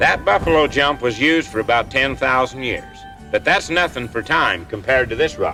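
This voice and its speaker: Music is playing in the background. Over it, a man talks at a moderate pace. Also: medium pitch for a man, lively intonation. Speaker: documentary narrator. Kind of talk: documentary presenter speaking on location. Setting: outdoors. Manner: folksy, casual.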